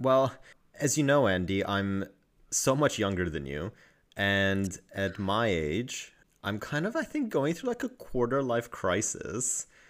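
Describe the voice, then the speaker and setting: A man with a normal speaking voice talks at a fairly slow pace and a medium pitch, with lively intonation. The recording is very clean, with a silent background. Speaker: podcast co-host. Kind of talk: casual chat. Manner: bantering, sarcastic.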